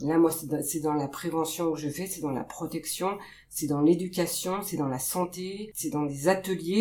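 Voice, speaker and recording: A woman with a normal speaking voice and a fairly low pitch talks at a fairly slow pace with ordinary pitch variation. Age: 40s. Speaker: pediatric nurse. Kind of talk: interview.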